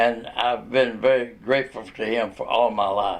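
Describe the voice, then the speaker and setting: The speaker talks at a moderate pace with a Tennessee accent. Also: man. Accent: Southern US (Tennessee). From Chattanooga, Tennessee (US South). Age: 80s+. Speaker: retired newspaper reporter. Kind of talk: interview. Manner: halting.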